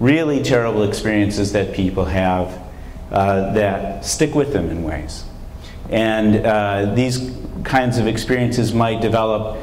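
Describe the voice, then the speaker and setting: Fairly low in pitch, a man speaks at a fairly slow pace with ordinary pitch variation, amid audible room echo and light background noise. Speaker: visiting professor. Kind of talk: lecture. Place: hall. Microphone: lapel.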